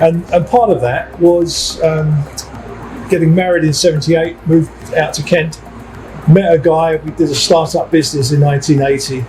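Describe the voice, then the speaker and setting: Noticeable background noise sits behind the speaker. The pace is moderate and the intonation fairly even. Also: man, fairly high pitch for a man. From East End of London. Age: 60s. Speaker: security company managing director. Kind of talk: interview. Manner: conversational, with hesitations and repeats.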